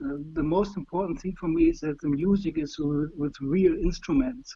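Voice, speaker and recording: A high-pitched man with a German accent and lively intonation, at a moderate pace. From Germany. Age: 50s. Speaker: fan being interviewed. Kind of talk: interview. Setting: call on livestream. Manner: halting, many fillers.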